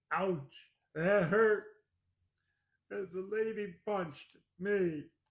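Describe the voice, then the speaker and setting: A man speaks in a put-on character voice, high-pitched for a man, with fairly even intonation and a very slow pace. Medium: read story. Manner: boastful, swaggering.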